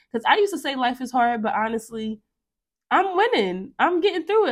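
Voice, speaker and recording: A woman talks at a very fast pace in an animated tone. Her pitch swings very widely. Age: 20s. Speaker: podcast host. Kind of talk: solo casual monologue.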